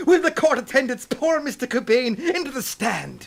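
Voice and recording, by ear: A man's put-on character voice, extremely high in pitch, with big pitch swings, vocal fry and a moderate pace.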